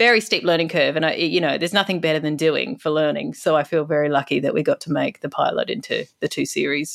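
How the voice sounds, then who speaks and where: A woman with an Australian accent talks at a very fast pace. She hardly pauses at all. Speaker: TV writer and actress. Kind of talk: interview.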